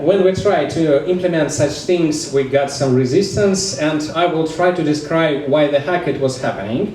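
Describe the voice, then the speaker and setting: With a Russian accent, a man of fairly high pitch talks at a fairly slow pace with ordinary pitch variation, amid noticeable background noise and audible room echo. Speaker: DevOps engineer. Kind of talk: conference talk. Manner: halting, frequent fillers.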